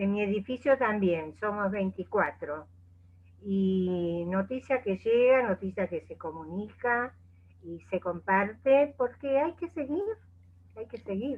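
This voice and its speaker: Very slowly, a woman speaks at medium pitch with lively intonation and big swings in loudness. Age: 70s. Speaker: coach. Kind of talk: casual chat.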